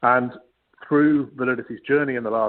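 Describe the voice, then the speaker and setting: A man with a British accent at a fairly quick pace. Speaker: data solutions executive. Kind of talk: webinar panel presentation. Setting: live web broadcast.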